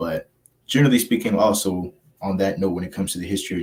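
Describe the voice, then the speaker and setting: A man with an American accent, a fairly low pitch and fairly even intonation. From Texas, Fort Worth. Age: 20s. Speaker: community activist. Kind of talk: interview.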